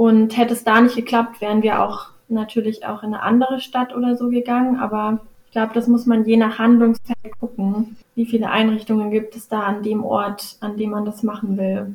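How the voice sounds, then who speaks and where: Her pitch is fairly high for a woman. She holds a moderate pace in a monotone, flat intonation. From Karlsruhe. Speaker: social work student. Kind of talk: interview.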